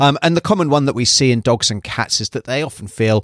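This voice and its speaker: In a very clean recording with a silent background and a dry, close sound with no echo, a man with a British accent speaks at medium pitch and a moderate pace, his intonation lively. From UK. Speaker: veterinarian podcast host. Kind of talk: educational podcast monologue.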